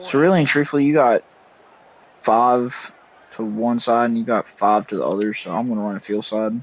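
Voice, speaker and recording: A man with a medium-pitched voice and ordinary pitch variation speaks at a moderate pace. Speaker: gaming youtuber. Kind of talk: gameplay commentary. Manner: low-energy, subdued.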